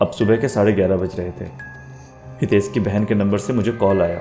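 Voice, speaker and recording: With music in the background, a man speaks at a moderate pace in a fairly low voice with ordinary pitch variation. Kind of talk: horror story narration.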